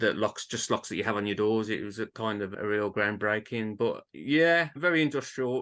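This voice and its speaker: Talking at a moderate pace with hardly any pauses, a man with a Birmingham accent uses lively intonation. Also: medium pitch for a man. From England, Birmingham. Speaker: author. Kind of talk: interview.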